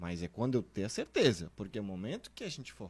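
A man with a plain, everyday voice talks at a fairly low pitch with lively intonation. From southern Brazil, Santa Catarina (Blumenau). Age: 30s. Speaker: guest, husband of the testimony giver. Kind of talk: testimony.

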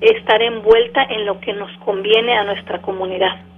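Against noticeable background noise, a woman speaks in a fairly high pitch with monotone, flat intonation. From Mexico City, moved to US at 14. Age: 40s. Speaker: city mayor. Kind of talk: radio interview.

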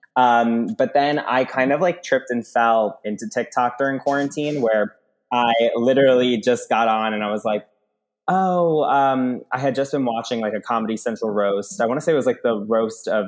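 Medium-pitched man with an American accent, moderate pace and ordinary pitch variation. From US Northeast (Long Island, New York). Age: 20s. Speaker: TikTok comedian. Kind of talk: casual chat. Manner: animated.

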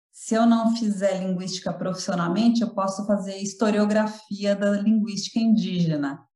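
A dark, mellow tone with a somewhat breathy quality. The pace is moderate and the intonation fairly even. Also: woman. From Brazil, São Paulo. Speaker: linguistics professor. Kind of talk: interview. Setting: remote call.

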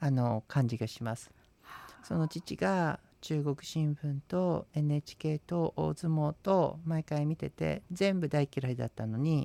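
A man at a very slow pace, fairly high in pitch, dark and mellow in tone, with ordinary pitch variation, in a dry, close sound with no echo and a very clean, silent background. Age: 40s. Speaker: Buddhist priest and radio co-host. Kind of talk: casual radio talk.

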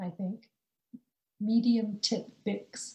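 With a Canadian accent, the voice moves at a very slow pace, somewhat breathy, with a dark, mellow tone and fairly even intonation. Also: woman. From British Columbia, Canada (born rural India). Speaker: poet. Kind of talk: casual interview chat; poetry reading of her own confessional free verse. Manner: slow, measured, deliberate pacing with weighted pauses between images; quiet, intimate and restrained.

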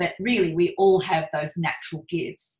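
A woman talks at a fairly low pitch, her voice somewhat breathy. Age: 50s. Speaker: business coach. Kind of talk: casual chat.

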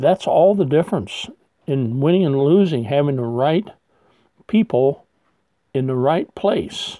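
A man with a fairly high pitch speaks at a fairly slow pace, leaving long, frequent pauses. His tone is dark and mellow, with lively intonation. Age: 60s. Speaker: retired pastor. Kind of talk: sermon.

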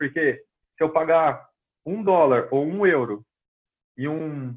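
A man speaks in a Brazilian accent at a fairly high pitch with ordinary pitch variation. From Brazil, Londrina, Paraná. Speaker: personal trainer, kettlebell instructor. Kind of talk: casual podcast interview.

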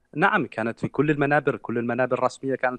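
A man with an unremarkable speaking voice talks at a fairly quick pace in a medium pitch, with ordinary pitch variation and a dry, close sound with no echo. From Mauritania. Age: 30s. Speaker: human rights activist. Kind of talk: interview.

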